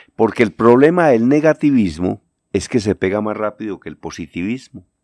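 A man with an ordinary speaking voice talks at a fairly low pitch and moderate pace with lively intonation, in a dry, close sound with no echo and a quiet background. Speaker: journalist and lecturer. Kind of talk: radio-style commentary segment.

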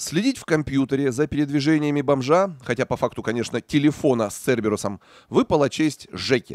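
An ordinary speaking voice at a fairly quick pace, on a very clean recording with a silent background. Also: man. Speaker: news narrator. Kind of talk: scripted narration. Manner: sarcastic.

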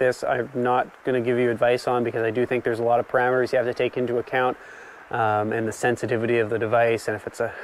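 A male voice in a dry sound with no echo. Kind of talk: tutorial. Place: open country.

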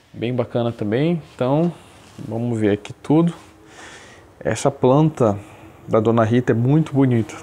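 At a fairly slow pace with long, frequent pauses, a man speaks at a medium pitch with ordinary pitch variation. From Brazil, Belém do Pará. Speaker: bonsai hobbyist. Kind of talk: show-and-tell presentation. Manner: hesitant, many fillers.

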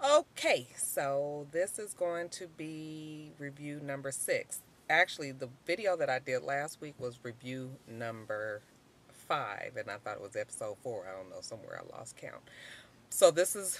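A woman speaks at a fairly slow pace. The sound is dry with no echo. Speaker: TV episode reviewer. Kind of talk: casual vlog chat. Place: car. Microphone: phone near.

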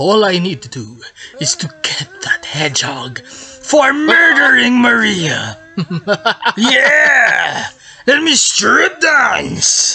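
Raising and projecting his voice, a man speaks very slowly at an extremely high pitch. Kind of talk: comic overacting. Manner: shouting, manic.

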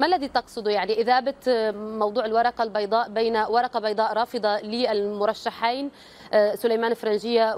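Using an unremarkable speaking voice, a woman talks at a fairly slow pace and a fairly high pitch. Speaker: news anchor. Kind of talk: news presenting and live interview. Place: studio.

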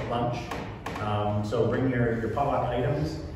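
Amid noticeable background noise and strong room echo, a man talks at a fairly quick pace. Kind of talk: announcements to congregation. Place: church. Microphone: camera far.

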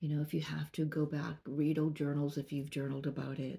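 A woman speaks in a very deep, low pitch with a dark, mellow tone and a somewhat breathy quality. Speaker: spiritual reader. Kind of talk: channeled message monologue. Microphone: phone near.

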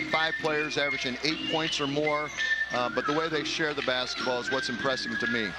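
Loud background noise surrounds a man speaking at a fairly quick pace. The sound is dry, with no echo. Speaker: college basketball coach working as a color analyst. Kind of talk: sports broadcast color commentary. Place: hall. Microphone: headset.

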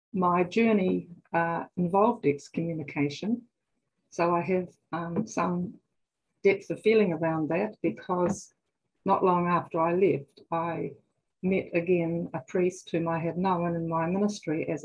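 Somewhat breathy and fairly low in pitch, a woman speaks at a fairly slow pace with a New Zealand accent. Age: 70s. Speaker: psychotherapist; guest. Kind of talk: personal testimony. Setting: video call. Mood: earnest, personal, warm. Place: home room. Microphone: video call.

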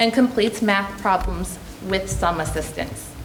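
Noticeable background noise and audible room echo accompany a woman whose pitch varies in an ordinary way. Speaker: special education program leader. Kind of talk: prepared presentation. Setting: school board meeting. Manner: formal.

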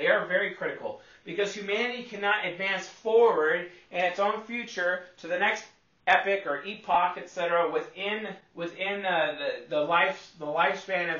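An animated man talks at a moderate pace with a high pitch and ordinary pitch variation. The room echo is audible. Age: 30s. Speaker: personality psychology youtuber; personality type teacher. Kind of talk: lecture. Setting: solo video recording, one take. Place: home room. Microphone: camera far.

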